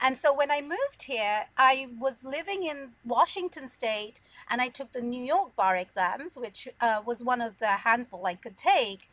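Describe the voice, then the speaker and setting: A woman with a British accent speaks at a moderate pace with a high pitch and lively intonation. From London, England. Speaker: immigration lawyer. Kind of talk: interview.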